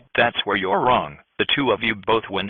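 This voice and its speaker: A man growls in a put-on character voice at a medium pitch. His pace is moderate. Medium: cartoon. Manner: showy, salesman-like.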